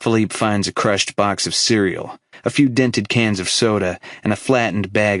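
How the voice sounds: The reading voice is natural, and the intonation stays fairly even.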